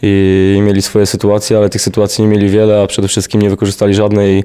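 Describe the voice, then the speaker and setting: At a very fast pace, the voice runs in a flat monotone over a quiet background. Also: man. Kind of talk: interview answer. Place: hall. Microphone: handheld.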